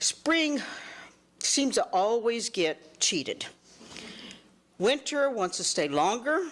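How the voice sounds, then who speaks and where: The speaker talks at a very slow pace with long, frequent pauses, vocal fry, very even loudness and very wide pitch swings. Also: woman, fairly high pitch for a woman. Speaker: master gardener. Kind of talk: talk to community group. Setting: neighborhood meeting with audience. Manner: animated.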